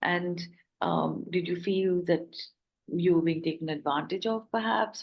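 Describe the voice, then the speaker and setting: A woman with an unremarkable speaking voice talks at a fairly slow pace, her fairly low pitch held in fairly even intonation. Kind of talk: interview questions.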